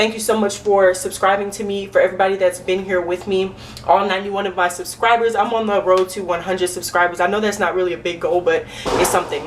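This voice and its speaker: A woman talks at a very fast pace with hardly any pauses, at a medium pitch. Her intonation is monotone and flat, with noticeable background noise behind her. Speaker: vlogger. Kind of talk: storytime vlog.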